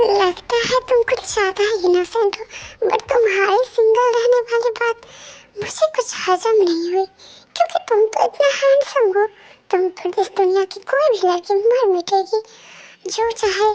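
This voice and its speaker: Putting on a character voice, a woman speaks in an extremely high pitch at a moderate pace with ordinary pitch variation. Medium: read story. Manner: bossy yet curious.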